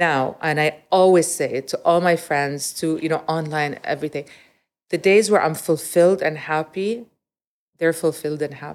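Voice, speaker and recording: A woman with a plain, everyday voice speaks at a moderate pace, fairly low in pitch and fairly even in intonation, on a very clean recording with a silent background. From Montreal, Canada (early childhood in Riyadh). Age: 40s. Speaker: retail executive and business consultant. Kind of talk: interview conversation.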